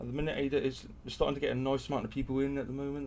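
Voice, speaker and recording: A man at a medium pitch with a British accent and a very fast pace. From UK. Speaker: crypto YouTuber and stake pool operator. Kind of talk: live stream chat. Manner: animated.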